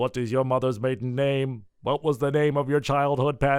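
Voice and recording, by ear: A man puts on a robotic character voice at a medium pitch. He talks at a moderate pace.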